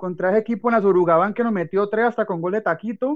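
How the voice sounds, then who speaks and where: A man with a high pitch and ordinary pitch variation speaks over a quiet background. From Colombia, Valle del Cauca. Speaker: adjunct lecturer. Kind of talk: radio talk show.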